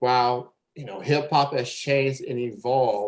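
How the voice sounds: At a fairly slow pace, the speaker talks with ordinary pitch variation. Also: man, medium pitch for a man.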